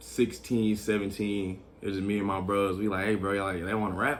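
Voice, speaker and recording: With an American accent, a man speaks very fast in a fairly low voice with ordinary pitch variation. Room echo is audible. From Texas, Killeen. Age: 20s. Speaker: rapper. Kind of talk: interview.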